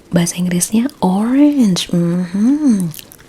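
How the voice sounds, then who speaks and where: Soft-spoken and in a gentle, relaxed tone, a woman talks at a very slow pace with very wide pitch swings over noticeable background noise. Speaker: ASMR roleplay creator. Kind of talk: ASMR roleplay, focus test clinic. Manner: soft-spoken, gentle, relaxed.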